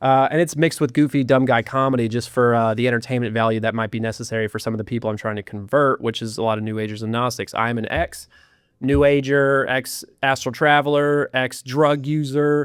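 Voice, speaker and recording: A man talks at a fairly quick pace with hardly any pauses. His pitch sits in the medium range. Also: fairly even intonation. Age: 20s. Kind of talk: podcast interview. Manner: fast; casual, hesitant fillers.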